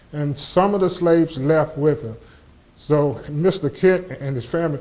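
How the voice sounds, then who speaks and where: A man speaks with an Appalachian accent at a fairly slow pace. His fairly high pitch holds fairly even intonation. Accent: Appalachian Southern American. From US South, southwest Virginia (Montgomery County). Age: 70s. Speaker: local historian speaker. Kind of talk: lecture. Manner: halting, frequent restarts.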